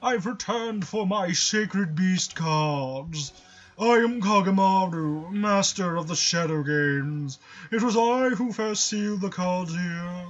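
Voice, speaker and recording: Using a put-on character voice, a man speaks high for a man at a fairly slow pace with ordinary pitch variation. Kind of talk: formal, proclaiming. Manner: pompous, grandiose.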